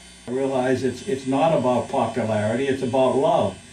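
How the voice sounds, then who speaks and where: Amid noticeable background noise and audible room echo, a man with an American accent speaks at a moderate pace with a medium pitch. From Boston area, US. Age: 70s. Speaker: street singer. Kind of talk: documentary interview.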